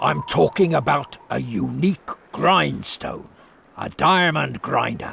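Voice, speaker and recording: A raspy, put-on character voice from a man, at a fairly slow pace. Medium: video game. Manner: eager, earnest.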